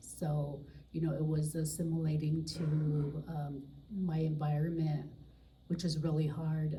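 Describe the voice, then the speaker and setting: A woman speaks at a fairly slow pace in a very deep, low pitch, somewhat breathy and with a dark, mellow tone, with audible room echo around her. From Pine Ridge area reservation, South Dakota (Oglala Lakota). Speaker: peer support specialist. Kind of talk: panel talk. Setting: live panel at an office with audience.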